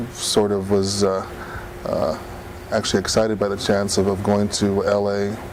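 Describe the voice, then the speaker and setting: With an American accent, a man speaks at a moderate pace in a fairly low pitch and a flat, monotone delivery, with noticeable background noise and audible room echo. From Gila River Indian Community, Arizona. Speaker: former student activist. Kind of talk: interview testimony. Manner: halting.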